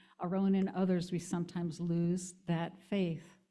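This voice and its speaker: Someone with an American accent speaks at a fairly slow pace in a dark, mellow tone, with audible echo from the room. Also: woman. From US Northeast (Hudson Valley, NY). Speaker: minister. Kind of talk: sermon.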